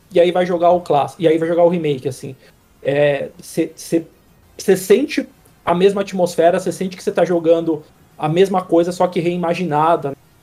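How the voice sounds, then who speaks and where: High-pitched male speech at a fairly quick pace, fairly even in intonation, with big swings in loudness and music in the background. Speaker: games reviewer. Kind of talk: casual chat.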